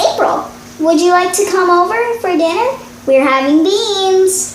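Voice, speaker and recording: Doing a put-on character voice, a woman squeaks at an extremely high pitch and a moderate pace, with a slight echo and clear background noise. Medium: read story. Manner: patient, reasoning.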